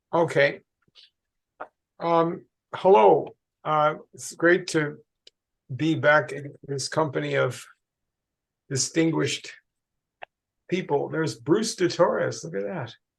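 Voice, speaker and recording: A somewhat breathy man's voice, fairly high in pitch with ordinary pitch variation, at a very slow pace with long, frequent pauses and big swings in loudness. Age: 80s+. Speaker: historian. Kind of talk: lecture.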